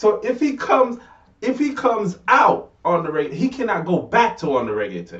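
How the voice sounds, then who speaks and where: A man with a Jamaican accent talks in an animated tone at a moderate pace. His pitch swings very widely. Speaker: talk show co-host. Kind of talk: casual debate.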